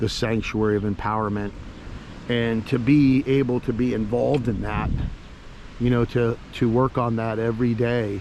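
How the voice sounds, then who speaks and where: Over noticeable background noise, a man talks at a moderate pace in a medium pitch with monotone, flat intonation and long, frequent pauses. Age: 60s. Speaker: spiritual vlogger. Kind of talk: casual vlog monologue. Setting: outdoors on a beach.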